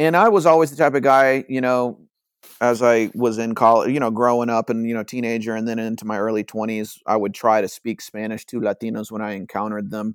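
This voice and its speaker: A plain, everyday voice from a man with an American accent, medium in pitch, with ordinary pitch variation and a fairly quick pace, on a very clean recording with a silent background. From rural Georgia, US South. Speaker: Spanish-learning content creator. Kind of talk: casual chat.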